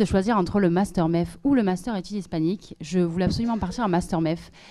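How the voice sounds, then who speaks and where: The delivery is very fast, with ordinary pitch variation. The tone is dark and mellow. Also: woman. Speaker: master's student and event organizer; presenter. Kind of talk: event presenting and academic talk. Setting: stage with audience. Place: hall. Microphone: handheld.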